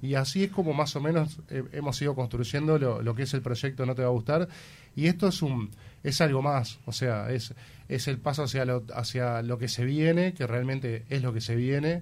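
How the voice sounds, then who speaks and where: His voice somewhat breathy and medium in pitch, a man talks at moderate speed with ordinary pitch variation. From Uruguay. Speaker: musician in a rock band. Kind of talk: radio interview.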